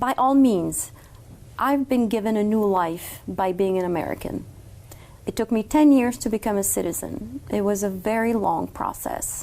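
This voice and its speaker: In a French accent, a woman speaks at a medium pitch and moderate pace, with ordinary pitch variation. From Morocco. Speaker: law student. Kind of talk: interview.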